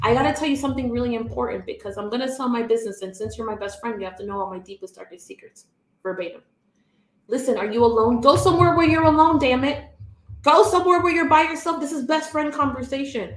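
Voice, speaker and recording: In an American accent, a high-pitched woman talks very fast, animated and lively in intonation, with big swings in loudness. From Miami, Florida. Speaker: business coach. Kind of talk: livestream talk to audience.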